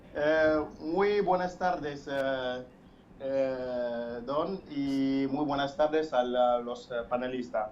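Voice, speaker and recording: A man talks at a very slow pace with a fairly high pitch and ordinary pitch variation. Audible echo fills the room. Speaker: caller. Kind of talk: phone-in opinion. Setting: phone call. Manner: halting, many fillers and repetitions.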